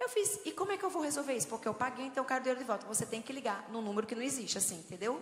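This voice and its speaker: An animated voice with a northeastern Brazilian accent is heard amid noticeable background noise and audible room echo. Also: woman. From Brazilian Northeast, João Pessoa. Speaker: preacher at women's conference. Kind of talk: sermon.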